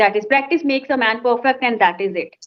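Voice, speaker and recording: A woman with an Indian accent speaks at a moderate pace in a high pitch. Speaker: English conversation trainer. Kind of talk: conversation practice session.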